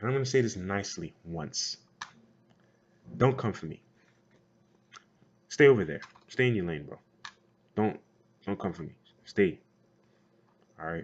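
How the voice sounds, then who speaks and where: A man with a fairly low pitch speaks at a moderate pace, using lively intonation, big swings in loudness and long, frequent pauses. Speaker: gaming community vlogger. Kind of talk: vlog rant. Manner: casual, filler-heavy.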